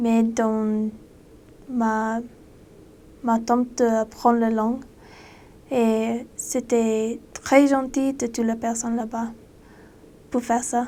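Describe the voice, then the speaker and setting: A woman talks very slowly in a dark, mellow tone at a fairly high pitch, her intonation monotone and flat, in a very clean recording with a silent background. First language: not French (speaking French). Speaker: former missionary. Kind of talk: casual monologue. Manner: halting.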